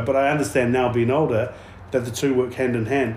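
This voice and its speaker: A man with a New Zealand accent at a medium pitch, talking at a very fast pace over noticeable background noise. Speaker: podcast host. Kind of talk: casual chat. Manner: casual.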